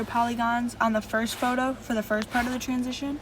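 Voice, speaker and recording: Speech at a very fast pace, delivered in a flat monotone over noticeable background noise. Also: woman. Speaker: video editing tutorial youtuber. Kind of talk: tutorial.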